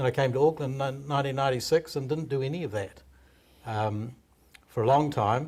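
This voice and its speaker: Somewhat breathy and with a New Zealand accent, the speaker moves at a fairly quick pace with ordinary pitch variation. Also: man, medium pitch for a man. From New Zealand, Hawke's Bay. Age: 60s. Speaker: stand-up comedian. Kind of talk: interview.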